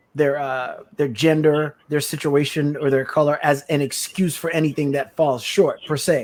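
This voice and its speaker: A man speaks in an unremarkable speaking voice with an American accent, his pitch fairly high, his pace moderate, his intonation fairly even and his pauses hardly any. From US Virgin Islands. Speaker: podcast co-host. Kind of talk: casual interview conversation.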